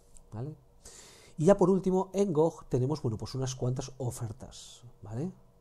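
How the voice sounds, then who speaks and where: Fairly high-pitched yet dark and mellow in tone, a man's somewhat breathy voice carries lively intonation and big swings in loudness. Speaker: gaming YouTuber. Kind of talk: game deals roundup. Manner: fast; animated.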